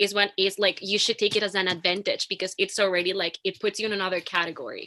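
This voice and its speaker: Bright and sharp in tone, a woman with a Latin American accent speaks in a medium pitch and a monotone, flat intonation, in a dry, close sound with no echo. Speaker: actor and film student. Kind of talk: panel discussion.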